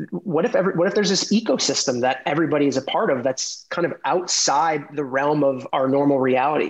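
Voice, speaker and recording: With an American accent, a man speaks very fast at a fairly high pitch with hardly any pauses. His loudness stays very even, and his pitch varies in an ordinary way. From New York City. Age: 30s. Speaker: former lawyer turned tech executive. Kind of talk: podcast interview.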